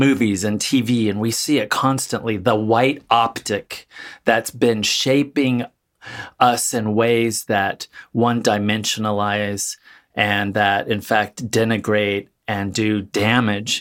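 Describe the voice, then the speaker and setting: A man speaks fairly slowly in a normal speaking voice, with an American accent, medium pitch and fairly even intonation. The recording is very clean, with a silent background. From California, Central Valley. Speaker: author and academic. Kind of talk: panel discussion.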